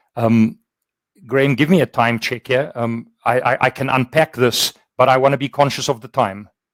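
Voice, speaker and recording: With a South African accent, a man speaks with fairly even intonation in a dry, close sound with no echo. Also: medium pitch for a man, moderate pace. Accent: Afrikaans South African English. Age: 60s. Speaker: workplace culture consultant. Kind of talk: webinar conversation.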